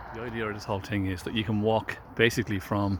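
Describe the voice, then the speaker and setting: A man speaks in an Irish accent. His fairly low voice stays flat and monotone. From Ireland, Drogheda area. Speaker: vlogger giving a walking tour. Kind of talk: casual walking-tour narration. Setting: outdoors on a riverside walk. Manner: casual, with hesitations.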